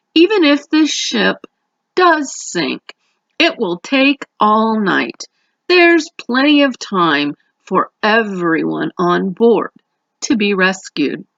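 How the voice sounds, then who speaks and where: A woman puts on a raspy character voice at a fairly high pitch. She speaks at a very slow pace. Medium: read story. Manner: jovial, condescending.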